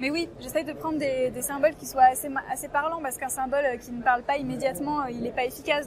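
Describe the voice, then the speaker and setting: Very fast speech with fairly even intonation over noticeable background noise. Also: woman. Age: 20s. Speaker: photographer. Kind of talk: interview. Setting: photo fair.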